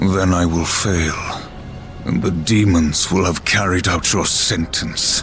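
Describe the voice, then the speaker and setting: A man puts on a character voice with a very deep, low pitch, speaking at a fairly slow pace over loud background noise. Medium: short film. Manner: gruff, defiant.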